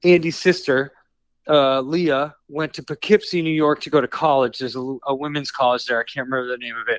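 With an American accent and an unremarkable speaking voice, a man speaks at a fairly quick pace, his loudness swinging widely, on a very clean recording with a silent background. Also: fairly high pitch for a man, fairly even intonation. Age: 40s. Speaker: rock musician. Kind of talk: interview.

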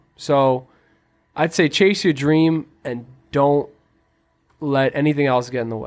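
With an American accent, this speaker uses ordinary pitch variation and long, frequent pauses on a very clean recording with a silent background. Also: man, fairly high pitch for a man. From Quincy, Massachusetts. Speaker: podcast co-host. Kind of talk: casual chat.

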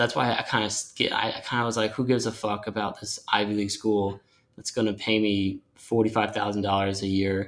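A man talks at a fairly quick pace with an American accent. His fairly low pitch stays monotone and flat. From US Northeast, Long Island, New York. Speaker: novelist and screenwriter. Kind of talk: casual chat.

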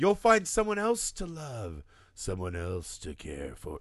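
A man puts on a character voice at a medium pitch. His pace is fairly slow. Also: quiet background. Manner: smarmy, cheesy.

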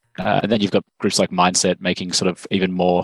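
In an Australian accent, a man with a very deep, low pitch speaks very fast and in a monotone, flat way, the sound dry and close with no echo against a quiet background. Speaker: medicinal chemist, biotech cofounder. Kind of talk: interview.

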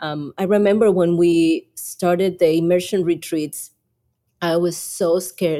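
A woman with a Mexican accent speaks at a fairly slow pace in a fairly low pitch, her dark, mellow tone held to a monotone, flat intonation. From Mexico. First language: Spanish. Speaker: YouTube creator and Spanish podcast co-host. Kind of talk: casual interview chat.

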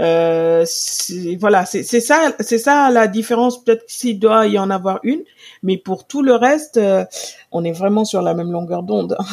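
In a plain, everyday voice, a woman at medium pitch speaks at a fairly slow pace with lively intonation, in a very clean recording with a silent background. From Senegal. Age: 40s. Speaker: purchasing director and Instagram influencer. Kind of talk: interview conversation.

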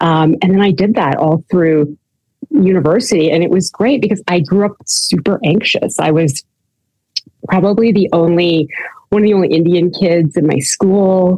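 A woman speaks in an ordinary speaking voice with a Canadian accent, fairly low in pitch. Her pace is moderate, her pitch variation ordinary, and her loudness very even. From Canada. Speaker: recovery program founder, former orthodontist. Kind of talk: interview, personal testimony.

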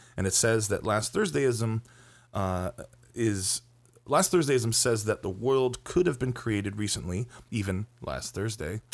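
In an unremarkable speaking voice, a man at medium pitch talks at a fairly slow pace with lively intonation, recorded very cleanly against a silent background. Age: 30s. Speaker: movie podcast co-host. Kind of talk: casual chat.

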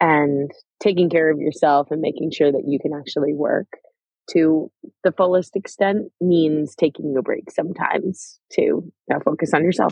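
Using a normal speaking voice, a woman with a fairly low pitch talks at a moderate pace with fairly even intonation. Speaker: startup founder and CEO. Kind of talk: interview.

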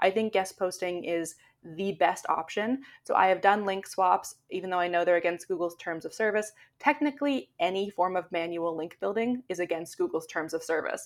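Recorded very cleanly with a silent background, a woman with a normal speaking voice, a medium pitch and a Canadian accent talks at a moderate pace with ordinary pitch variation. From Canada. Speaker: SEO blogger. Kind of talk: interview.

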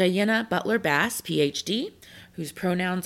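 A woman's fairly low voice with vocal fry, on a very clean recording with a silent background. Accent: American. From Texas. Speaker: podcast host. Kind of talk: scripted announcements; podcast interview.

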